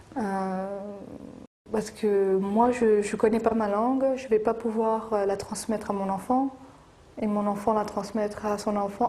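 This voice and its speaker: A woman speaks in a fairly high voice with monotone, flat intonation and big swings in loudness. Noticeable background noise runs under her voice. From France. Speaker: Kurdish community association member. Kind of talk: documentary interview. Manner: hesitant, many fillers.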